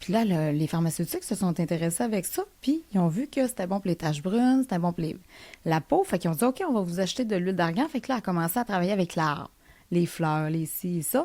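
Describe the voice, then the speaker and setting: Her tone is dark and mellow, her pitch medium for a woman, her intonation lively, and her pace fairly quick. The recording is very clean, with a silent background. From Quebec, Lac-Saint-Jean (Alma). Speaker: entrepreneur, company founder. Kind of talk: interview conversation. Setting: studio. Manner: fast; animated.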